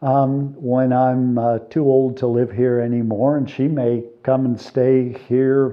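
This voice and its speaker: With fairly even intonation, a man talks at a very slow pace in a medium pitch. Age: 60s. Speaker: DIY restoration vlogger. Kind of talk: casual video vlog narration. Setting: indoors in a building under construction. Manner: hesitant, with many fillers.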